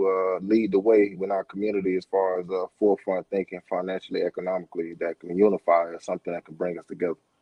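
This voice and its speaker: The speaker is a man with a fairly quick pace. His intonation is fairly even. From Florida, Miami and Orlando. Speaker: financial literacy educator. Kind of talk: casual interview chat. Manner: halting.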